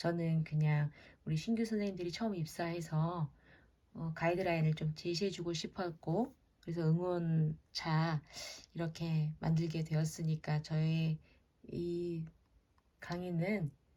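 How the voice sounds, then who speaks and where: Very slowly and with long, frequent pauses, a woman speaks in a fairly low, somewhat breathy voice, dark and mellow in tone, her intonation fairly even. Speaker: head nurse. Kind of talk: lecture. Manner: hesitant, filler-heavy.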